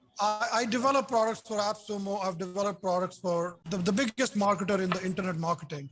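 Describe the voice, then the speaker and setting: Over noticeable background noise, a man rattles along at a very fast pace. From India. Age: 60s. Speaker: software developer. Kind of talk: casual chat. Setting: video call. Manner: animated.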